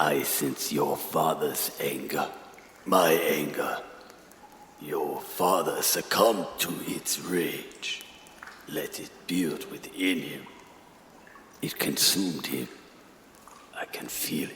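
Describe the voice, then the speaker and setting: A man speaks in a put-on character voice at a very slow pace. Long, frequent pauses break it up, with a slight echo and clear background noise. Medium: audio drama. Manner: formal, solemn.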